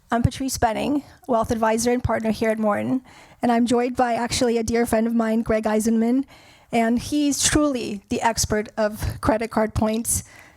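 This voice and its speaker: Her pitch fairly high, a woman speaks with a monotone, flat intonation. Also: moderate pace, very even loudness. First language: not English. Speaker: wealth advisor, panel moderator. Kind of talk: moderated panel conversation. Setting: stage with audience.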